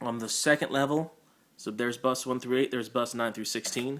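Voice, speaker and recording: A man with a medium-pitched voice talks at a very fast pace on a very clean recording with a silent background. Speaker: church sound team leader. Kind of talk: tutorial.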